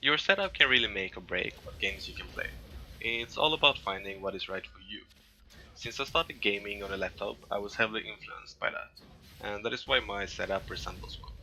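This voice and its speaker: Music plays in the background as a man talks at a fairly quick pace. His loudness swings widely. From Sweden. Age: 20s. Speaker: gamer, wheelchair rugby player. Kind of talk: casual talk to camera.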